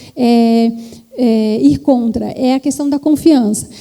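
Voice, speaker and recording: A woman speaks with fairly even intonation. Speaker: trend forecasting executive, keynote speaker. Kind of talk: conference talk.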